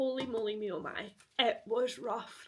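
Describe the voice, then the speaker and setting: This woman speaks in a Scottish accent. Her pitch is fairly high. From Scotland. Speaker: post-graduate student. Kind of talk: casual talk to camera, reading vlog.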